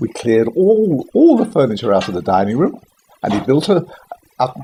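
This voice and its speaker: Speaking at a moderate pace with a southern English accent, a man with a fairly high pitch swings his pitch very widely. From West London, England. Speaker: Second World War childhood witness. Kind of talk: interview answer. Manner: casual, conversational.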